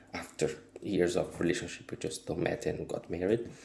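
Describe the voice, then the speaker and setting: A man's very deep, low voice, dark, mellow and somewhat breathy. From Brazil. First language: Portuguese. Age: 30s. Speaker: wellbeing vlogger. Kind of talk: casual vlog monologue. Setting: home kitchen. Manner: halting.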